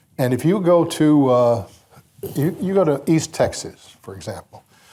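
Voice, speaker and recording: A man with an American accent speaks at a fairly high pitch with lively intonation. His tone is dark, mellow and somewhat breathy. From US South, Mississippi Delta. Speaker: radio broadcaster. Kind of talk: anecdotal storytelling. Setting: banquet stage with audience.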